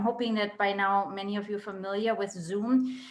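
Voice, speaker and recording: With a German accent, a woman speaks at a fairly high pitch and with fairly even intonation, against noticeable background noise. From Germany (Berlin). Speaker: medical oncologist. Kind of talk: educational webinar talk. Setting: video call.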